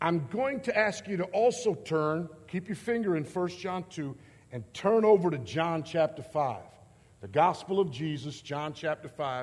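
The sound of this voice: At a fairly slow pace with few pauses, a man talks at a fairly high pitch with lively intonation.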